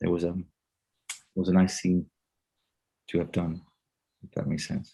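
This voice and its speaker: A man's very deep, low voice with a dark, mellow tone and long, frequent pauses. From Denmark. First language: Danish. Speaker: actor. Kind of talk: interview. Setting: video call. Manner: halting.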